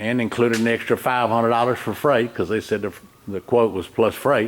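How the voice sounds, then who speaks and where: Speaking with a Southern US accent, a man keeps a medium pitch and a moderate pace. Noticeable background noise sits behind him. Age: 70s. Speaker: retired diesel mechanic. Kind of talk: casual complaint video. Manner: halting.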